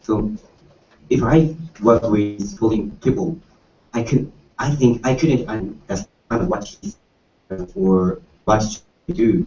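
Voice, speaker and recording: Very slowly and with long, frequent pauses, a man speaks in a medium pitch. His somewhat breathy voice swings very widely in pitch. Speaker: university student. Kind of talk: panel discussion. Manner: halting.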